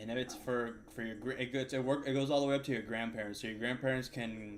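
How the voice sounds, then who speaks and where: The speaker talks very fast in a slight Cuban American accent with fairly even intonation. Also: man, medium pitch for a man. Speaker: day trader streamer. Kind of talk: casual chat during live trading stream.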